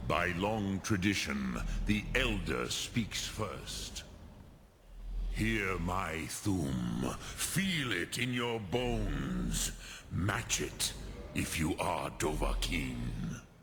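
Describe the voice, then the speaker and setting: A man uses a put-on character voice with very deep, low pitch and very wide pitch swings, at a very slow pace. Background noise is clear. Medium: video game. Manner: slow, measured, sprinkled with dragon words.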